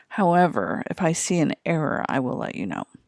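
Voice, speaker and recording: At a moderate pace, a woman with a fairly low pitch, vocal fry and ordinary pitch variation speaks in a very clean, dry, close recording with no echo and a silent background. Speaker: chemistry teacher. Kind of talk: lecture.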